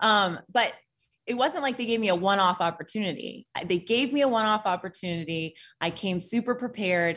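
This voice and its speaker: A woman with an American accent, animated and fairly quick, with ordinary pitch variation. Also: medium pitch for a woman. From Oregon, US Pacific Northwest. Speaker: sports broadcaster. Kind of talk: casual chat. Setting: video call.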